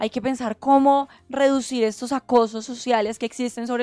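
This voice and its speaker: With a high pitch and monotone, flat intonation, a woman speaks at a moderate pace in a very clean recording with a silent background and a dry, close sound with no echo. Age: 20s. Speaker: gender equality activist. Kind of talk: podcast interview.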